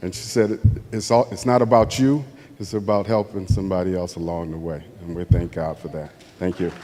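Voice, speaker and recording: A man with an American accent speaks at a fairly quick pace in a very deep, low pitch with ordinary pitch variation. His loudness swings widely, and there is noticeable background noise. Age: 60s. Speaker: award recipient's son. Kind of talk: acceptance speech. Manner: halting.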